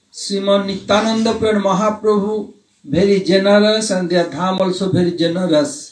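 A man speaks at a fairly slow pace, high in pitch. His intonation is fairly even, and room echo can be heard. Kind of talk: spiritual Q&A talk. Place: home room.

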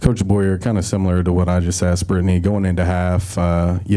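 Against a quiet background, a man speaks in a very deep, low voice with monotone, flat intonation. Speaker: sports reporter. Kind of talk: press conference questions. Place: meeting room.

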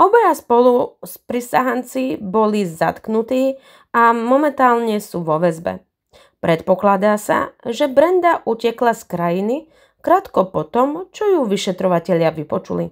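In a very clean recording with a silent background, a woman with a fairly high pitch talks at a fairly slow pace, her pitch swinging very widely. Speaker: true crime youtuber. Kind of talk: true crime narration.

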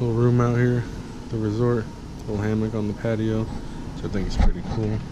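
The speech moves at a fairly slow pace over noticeable background noise. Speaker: travel vlogger. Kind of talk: casual vlog chat. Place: home room. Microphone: phone near.

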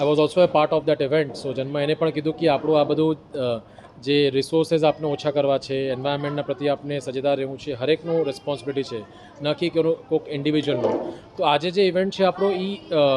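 There is noticeable noise in the background. The intonation stays fairly even. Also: man. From Kolkata, India (family from Bhuj, Gujarat). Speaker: climate fellowship participant. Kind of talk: interview.

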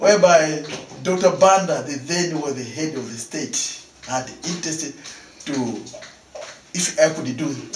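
Moderate pace with long, frequent pauses, ordinary pitch variation and big swings in loudness, with audible room echo and light background noise. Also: man, fairly high pitch for a man. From Malawi. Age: 60s. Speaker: painter; interviewee. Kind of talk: interview; interview answer. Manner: halting. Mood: cheerful, laughing often. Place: home room.

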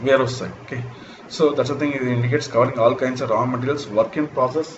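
Very fast male speech with fairly even intonation over noticeable background noise. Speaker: lecturer. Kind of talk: lecture. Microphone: webcam.

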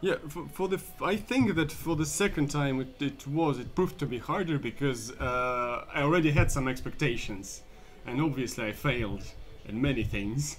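A speaker with a Russian accent talks with lively intonation over music in the background. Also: man, fairly high pitch for a man, moderate pace. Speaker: comedian. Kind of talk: casual chat. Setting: anti cafe.

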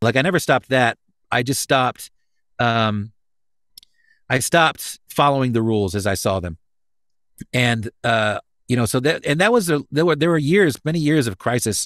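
In a dry sound with no echo and a quiet background, a man with a medium pitch and lively intonation speaks at a moderate pace, leaving long, frequent pauses. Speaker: voice actor, pastor, musician. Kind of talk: interview answer. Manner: casual, hesitant, many fillers. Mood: reflective, candid. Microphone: studio mic.

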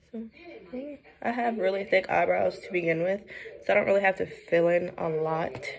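Over light background noise, a woman with an American accent talks at a moderate pace with ordinary pitch variation, big swings in loudness and long, frequent pauses. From Brooklyn, New York; New York. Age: 20s. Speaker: vlogger. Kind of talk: casual vlog chat. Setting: at home doing makeup. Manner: casual, hesitant with fillers. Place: home room. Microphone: phone near.

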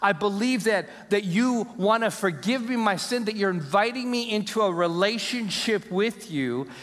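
A man with a high pitch speaks with hardly any pauses and ordinary pitch variation against a quiet background. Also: moderate pace. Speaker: pastor. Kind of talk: sermon. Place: church. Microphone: headset.

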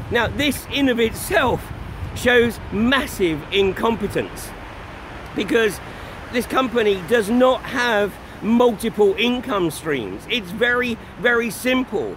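Very slow in pace, a man speaks at an extremely high pitch with ordinary pitch variation, in a dry sound with no echo and light background noise. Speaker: activist livestreamer. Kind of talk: commentary. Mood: critical, indignant. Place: waterside. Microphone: phone near.

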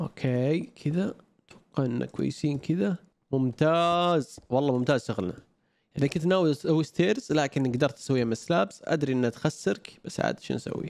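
A man's fairly high pitch with ordinary pitch variation, a moderate pace and a dry sound with no echo. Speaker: gaming YouTuber. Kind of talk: gameplay commentary. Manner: low energy. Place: home room.

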